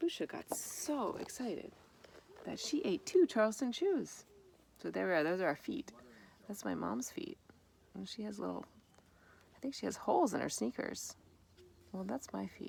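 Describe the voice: Her voice carrying vocal fry and a slightly husky edge, a woman talks at a moderate pace with big pitch swings and long, frequent pauses. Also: medium pitch for a woman.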